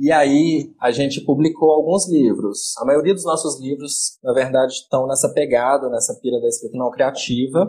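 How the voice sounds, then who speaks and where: With hardly any pauses, a man speaks at a moderate pace in a dark, mellow, fairly high-pitched voice showing ordinary pitch variation. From Minas Gerais, Brazil (Betim). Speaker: independent publisher. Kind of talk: interview. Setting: Instagram live stream.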